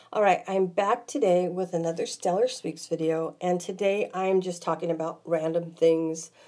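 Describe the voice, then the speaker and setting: A woman at a medium pitch with a dark, mellow tone and ordinary pitch variation, moderate pace, on a very clean recording with a silent background. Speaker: vlogger. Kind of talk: casual monologue vlog. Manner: winded.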